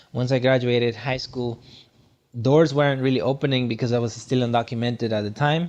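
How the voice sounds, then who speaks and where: A man with a Guatemalan accent, medium pitch and fairly even intonation. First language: Spanish. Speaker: motivational speaker. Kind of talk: podcast interview.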